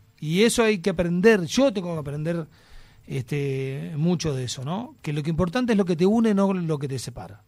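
Speaking at a fairly quick pace with a Uruguayan accent, a man uses lively intonation and a high pitch. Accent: Uruguayan Rioplatense Spanish. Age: 50s. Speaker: actor and TV personality. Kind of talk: casual chat.

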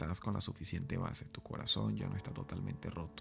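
The voice moves at a fairly quick pace against noticeable background noise. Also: man. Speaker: podcast host and author. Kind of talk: casual advice monologue.

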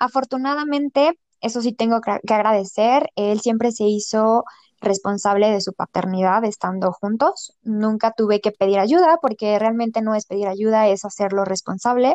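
Using a normal speaking voice, a woman talks at a moderate pace with hardly any pauses, fairly high pitch and ordinary pitch variation, in a dry, close sound with no echo. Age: 30s. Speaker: saleswoman. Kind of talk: personal testimony in casual interview.

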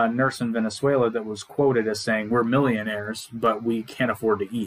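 A man talks at a fairly quick pace in a medium pitch. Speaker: podcast co-host. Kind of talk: solo monologue about economics, casual. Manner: informal, humorous, chatty.

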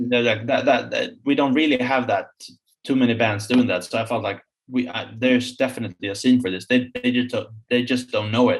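Man in a Swedish accent, medium pitch, fairly even intonation, fairly quick pace. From Sweden, Stockholm. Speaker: musician, band frontman. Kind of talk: casual interview.

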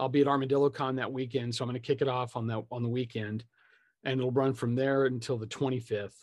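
A man with an ordinary speaking voice and fairly even intonation. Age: 50s. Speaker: tabletop game designer. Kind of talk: casual interview chat. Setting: video call.

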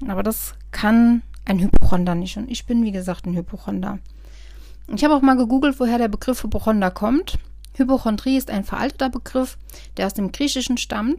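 A woman speaks at a fairly high pitch with ordinary pitch variation. Her tone is dark and mellow, and somewhat breathy. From Germany, Westerwald. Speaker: podcast host. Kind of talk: personal monologue podcast. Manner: casual, hesitant with frequent fillers.

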